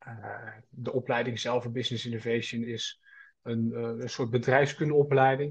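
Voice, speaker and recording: A man talks at a fairly slow pace in a somewhat breathy voice. His intonation is flat and monotone, and the background is quiet. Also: medium pitch for a man. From North Brabant, Netherlands (Schaijk). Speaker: student entrepreneur. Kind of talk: casual interview.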